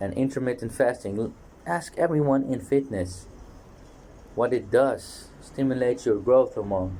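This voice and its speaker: Speaking at a moderate pace with a Dutch accent, a man has a medium pitch, a dark, mellow tone, a somewhat breathy quality and lively intonation. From Netherlands. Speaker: fitness vlogger. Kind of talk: casual monologue vlog. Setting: outdoors on a balcony.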